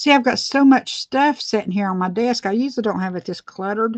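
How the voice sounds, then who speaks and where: Her intonation lively, a woman speaks in an Appalachian accent. The sound is dry and close, without echo. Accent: Southern US (Appalachian). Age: 50s. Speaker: beauty vlogger. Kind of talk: casual livestream tutorial. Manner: chatty, rambling with hesitations.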